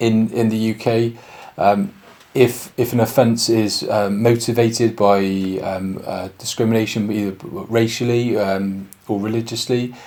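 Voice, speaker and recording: Delivered with a Bristolian accent, the voice has a dark, mellow tone and fairly even intonation at a fairly slow pace. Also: man, medium pitch for a man. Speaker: police sergeant. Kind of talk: public information talk. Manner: halting, many fillers.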